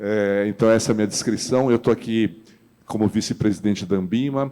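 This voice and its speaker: The man's tone is dark and mellow. He keeps a moderate pace and fairly even intonation. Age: 60s. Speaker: financial industry executive. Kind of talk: panel discussion.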